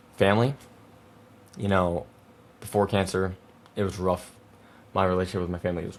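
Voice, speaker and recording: Very deep and low, a man's voice stays monotone and flat throughout. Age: 20s. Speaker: podcast host, young cancer patient. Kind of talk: personal monologue podcast. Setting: home video recording with monitors. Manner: halting, word-finding pauses; casual, emotional.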